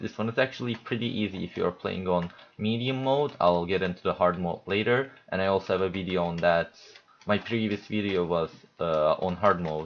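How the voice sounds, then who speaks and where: This man has a very deep, low pitch. His pitch varies in an ordinary way. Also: moderate pace. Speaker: video game player. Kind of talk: gameplay tutorial commentary. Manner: hesitant, stuttering.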